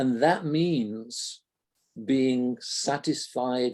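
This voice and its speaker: Here a man talks at a very slow pace. His pitch is medium. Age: 70s. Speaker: audience member. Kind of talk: Q&A discussion at virtual event.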